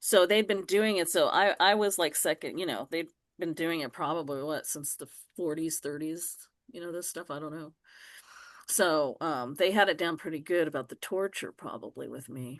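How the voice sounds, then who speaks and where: Against a quiet background, a woman with a fairly low pitch speaks at a moderate pace, her pitch varying normally while her loudness swings widely. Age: 60s. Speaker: self-described reverend and demonologist. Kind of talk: casual interview, personal testimony. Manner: halting, repetitive.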